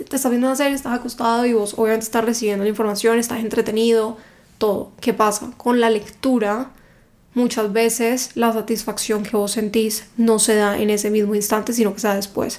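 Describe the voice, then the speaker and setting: Her voice fairly high and her intonation monotone and flat, a woman speaks at a fairly quick pace. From Cali, Colombia. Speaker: book content creator. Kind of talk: casual interview chat.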